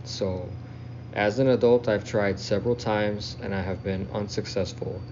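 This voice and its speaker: An American accent with audible room echo. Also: man. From South Texas. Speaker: listener telling own story. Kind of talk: self-recorded storytelling.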